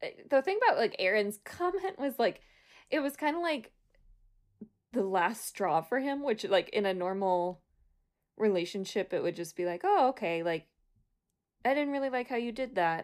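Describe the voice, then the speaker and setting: Recorded very cleanly against a silent background, a woman speaks at a moderate pace with lively intonation and long, frequent pauses. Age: 20s. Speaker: podcast co-host recapping reality TV. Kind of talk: casual chat.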